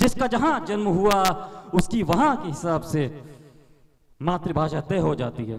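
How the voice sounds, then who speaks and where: With long, frequent pauses, a high-pitched man's voice moves through very wide pitch swings. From India, Uttar Pradesh. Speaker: self-proclaimed political visionary. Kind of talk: address to the world. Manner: formal.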